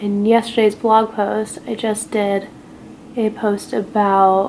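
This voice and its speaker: Noticeable background noise sits behind the voice. It's a woman at medium pitch. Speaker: beauty and lifestyle blogger. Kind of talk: casual chat while doing makeup. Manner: relaxed, filler-heavy with lots of 'like'; soft, near whispering at times.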